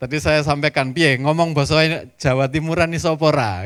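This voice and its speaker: With a Javanese accent, a man talks at a fairly high pitch in a very clean recording with a silent background. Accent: Javanese-accented Indonesian. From East Java, Surabaya. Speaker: pastor. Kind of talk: sermon. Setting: church.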